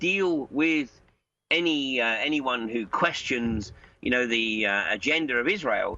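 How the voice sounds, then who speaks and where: This man's pitch swings very widely as he talks. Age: 60s. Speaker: political commentator. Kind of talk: interview. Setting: Skype call.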